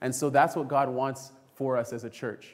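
Over a quiet background, a man speaks in an animated tone. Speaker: preacher. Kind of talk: sermon. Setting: church. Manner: animated, call-and-response, urgent preaching that invites the congregation to say amen. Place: church. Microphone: podium.

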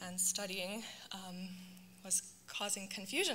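The speaker is a woman. Light noise sits in the background. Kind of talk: read personal testimony. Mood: earnest, reflective. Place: church. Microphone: handheld.

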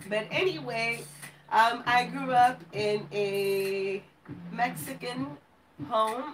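A woman with a medium-pitched voice speaks with fairly even intonation, and room echo can be heard.

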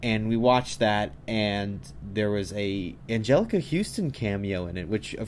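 Over light background noise, a man talks at a moderate pace in a fairly low pitch with ordinary pitch variation. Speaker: vlogger. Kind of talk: casual vlog chat. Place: home room.

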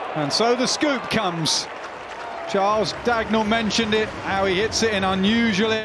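Crowd noise fills the background as the speaker talks in an animated tone at a moderate pace. Pitch variation is ordinary and loudness very even. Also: man, high pitch for a man. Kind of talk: sports commentary. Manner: animated, analytical, builds excitement.

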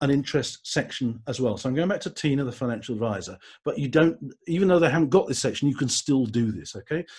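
Speaking very fast, a man with an English accent uses lively intonation and a fairly high pitch. His voice is somewhat breathy, over a quiet background. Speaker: LinkedIn trainer and speaker. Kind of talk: webinar presentation. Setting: live webinar from home. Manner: brisk.

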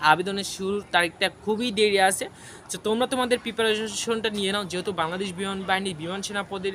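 A man's high-pitched voice keeps fairly even intonation, with noticeable background noise behind it. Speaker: job information video creator. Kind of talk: informational vlog.

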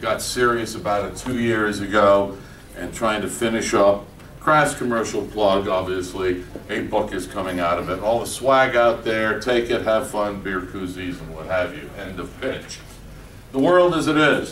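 With audible room echo, a man speaks at a fairly slow pace in a fairly low pitch and fairly bright tone, his pitch varying in an ordinary way.

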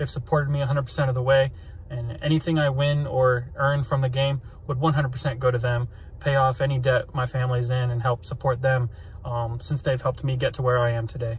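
A man's very fast, somewhat breathy monotone with flat intonation and a dry sound with no echo. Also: medium pitch for a man. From Central Florida, USA. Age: 20s. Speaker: flight instructor. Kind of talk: casting video talk to camera. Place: car. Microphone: phone near.

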